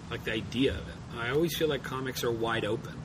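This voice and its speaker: A man speaks with lively intonation. Audible room echo and noticeable background noise surround his voice. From Australia. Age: 30s. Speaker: cartoonist. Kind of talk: interview. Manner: halting.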